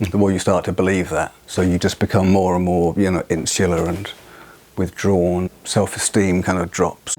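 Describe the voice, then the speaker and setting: Here is a man with a British accent. His pitch is very deep and low. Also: moderate pace. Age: 50s. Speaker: musician with a stammer. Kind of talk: documentary interview. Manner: halting.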